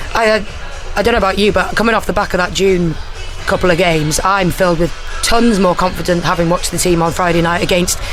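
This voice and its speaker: With music in the background and audible room echo, a woman with a Welsh accent talks at a very fast pace, her medium-pitched voice holding fairly even intonation. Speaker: former footballer and co-commentator. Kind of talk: casual chat. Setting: radio studio.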